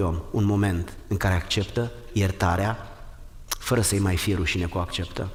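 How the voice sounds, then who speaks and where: Audible room echo carries a man's fairly low voice, which moves at a moderate pace with ordinary pitch variation and very even loudness. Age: 60s. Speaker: pastor. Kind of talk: sermon.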